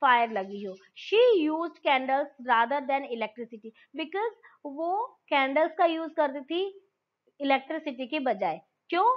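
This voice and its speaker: A woman speaks in a high-pitched voice. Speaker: school teacher. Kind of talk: lecture. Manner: reads text aloud then translates.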